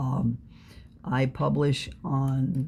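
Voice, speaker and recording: This woman's voice is very deep and low, with a dark, mellow tone and vocal fry. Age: 60s. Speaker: fan fiction writer. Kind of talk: personal talk to camera. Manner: halting, many fillers.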